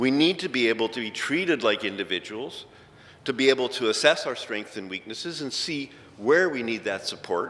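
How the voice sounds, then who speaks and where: Speaking with a Canadian accent in a normal speaking voice, a man at a medium pitch uses lively intonation at a moderate pace, in a very clean recording with a silent background. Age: 60s. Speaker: injured worker advocate. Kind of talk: conference talk. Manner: casual, conversational.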